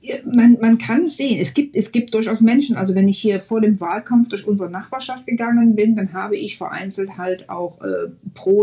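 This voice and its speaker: Moderate pace from a woman at medium pitch, amid noticeable background noise. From Germany, Mönchengladbach (Lower Rhine). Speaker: German expat in the US. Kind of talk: interview.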